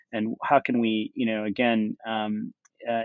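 This man speaks at a medium pitch and a moderate pace. His intonation stays fairly even. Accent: American. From United States. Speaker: tech startup founder. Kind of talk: interview. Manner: frequent fillers and hesitations.

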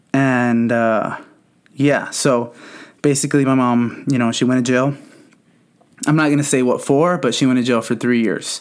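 With an American accent, a man talks at a moderate pace in a medium pitch, keeping fairly even intonation and very even loudness while taking long, frequent pauses. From Southern California. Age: 20s. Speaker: podcast host. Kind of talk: personal storytelling monologue. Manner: casual, many filler words.

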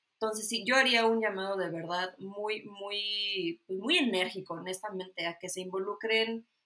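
A woman in a Mexican accent, bright and sharp in tone, at a fairly slow pace with fairly even intonation. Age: 30s. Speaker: political science graduate. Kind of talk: casual interview.

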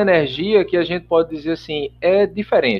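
A man talks at a fairly quick pace with a fairly high pitch. He has an ordinary speaking voice. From Brazil, Paraíba (João Pessoa). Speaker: spiritist radio program producer. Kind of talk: casual interview chat.

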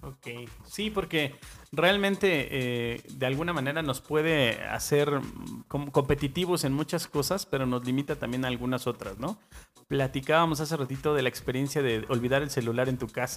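With a plain, everyday voice, a man talks at a moderate pace in a fairly high pitch with ordinary pitch variation. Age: 40s. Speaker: podcast host. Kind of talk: casual chat.

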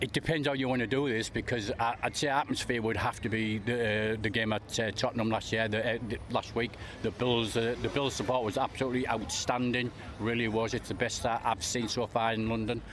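There is noticeable background noise as a man of medium pitch talks at a fairly quick pace, his loudness very even and his intonation monotone and flat. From England. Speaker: NFL fan. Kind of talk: interview.

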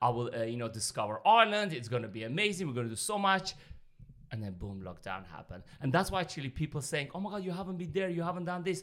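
A man with an Armenian accent, speaking very fast with very wide pitch swings. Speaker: professional dancer. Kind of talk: casual chat.

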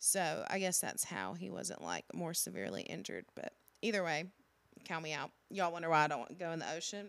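A woman's fairly low voice carries vocal fry and lively intonation at a fairly quick pace. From Alabama. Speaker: podcast co-host, government employee. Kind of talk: casual chat.

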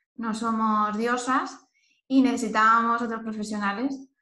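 Audible room echo surrounds a woman speaking in a high pitch with a bright, sharp tone. Her delivery is fairly slow and monotone, with flat intonation. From Spain, Elche (Valencian region). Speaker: nutritionist. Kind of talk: casual chat.

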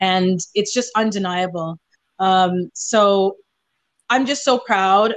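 A woman at a medium pitch with ordinary pitch variation and very even loudness, at a very slow pace with long, frequent pauses, over a quiet background. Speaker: singer-songwriter. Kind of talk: casual interview chat.

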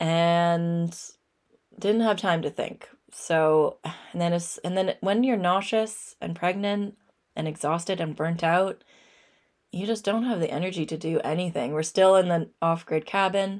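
With a Canadian accent and a normal speaking voice, a woman talks at a fairly slow pace in a fairly low pitch with fairly even intonation, on a very clean recording with a silent background. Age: 30s. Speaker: podcast host and author. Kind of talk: casual solo monologue. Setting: studio.

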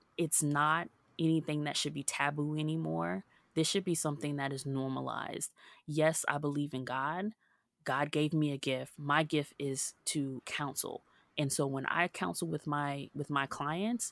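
A woman speaks at a moderate pace in a very deep, low voice with ordinary pitch variation. The recording is very clean, with a silent background and a dry, close sound free of echo. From US South, Hollywood, Florida. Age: 30s. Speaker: women's empowerment speaker. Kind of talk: interview.

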